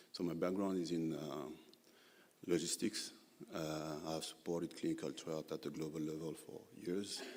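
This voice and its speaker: Speaking with a French accent, a man with a very deep, low pitch keeps a moderate pace and fairly even intonation. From Senegal. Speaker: healthcare logistics specialist. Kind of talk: panel discussion. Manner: hesitant, many fillers.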